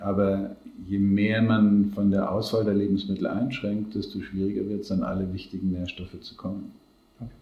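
A man speaks at a moderate pace in a fairly low pitch. His intonation is monotone and flat, with audible room echo. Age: 60s. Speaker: nutrition scientist. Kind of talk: interview. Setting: in person.

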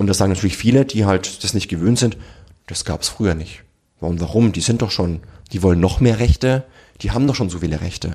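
Over a very fast pace, a man speaks with a fairly low pitch, ordinary pitch variation and a somewhat breathy, dark, mellow tone. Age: 30s. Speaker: generations researcher and author. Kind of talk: podcast interview.

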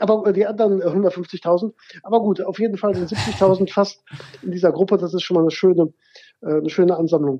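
Keeping his intonation fairly even, a man talks at a fairly quick pace with a high pitch. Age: 40s. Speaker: networking consultant and keynote speaker. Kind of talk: interview. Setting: phone call.

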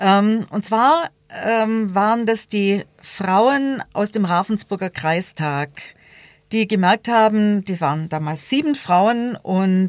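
A woman talks at a very slow pace with lively intonation and a medium pitch. The sound is dry and close, with no echo. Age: 50s. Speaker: local politician, equal opportunities officer. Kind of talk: debate interview.

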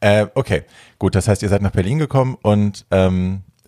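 Recorded very cleanly against a silent background, a man speaks in a dark, mellow tone with a dry, close sound and no echo. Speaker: podcast host and drag queen. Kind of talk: casual chat.

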